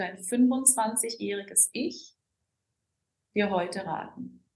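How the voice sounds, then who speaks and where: Her medium pitch shows ordinary variation as this woman speaks. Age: 40s. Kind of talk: podcast interview. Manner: animated.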